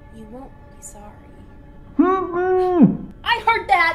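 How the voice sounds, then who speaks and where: A woman puts on a character voice, speaking at a very slow pace with an extremely high pitch. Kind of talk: horror host skit.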